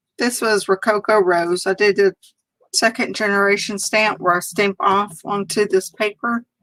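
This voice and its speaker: With a Southern US accent, a woman speaks at a fairly slow pace in a medium pitch and monotone, flat intonation, recorded with a dry, close sound with no echo. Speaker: crafter demonstrating card making. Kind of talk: live stream crafting tutorial. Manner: casual, chatty.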